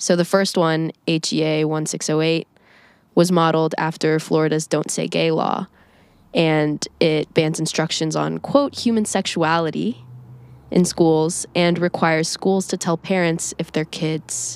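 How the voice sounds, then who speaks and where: Fairly low in pitch, a woman speaks at a fairly slow pace with fairly even intonation in an unremarkable speaking voice. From Indiana, US Midwest. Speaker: student podcast host. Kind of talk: interview.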